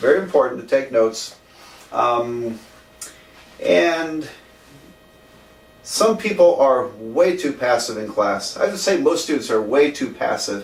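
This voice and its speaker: A man with a fairly high voice speaks at a moderate pace, his intonation lively. The room echo is audible, and there is noticeable background noise. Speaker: math professor. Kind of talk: lecture. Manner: hesitant, many fillers.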